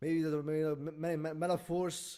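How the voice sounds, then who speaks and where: On a very clean recording with a silent background, a man mumbles at a fairly quick pace, his fairly high pitch carrying a dark, mellow tone. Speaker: video reviewer. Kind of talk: casual review monologue. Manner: halting, many fillers and stutters; mumbling.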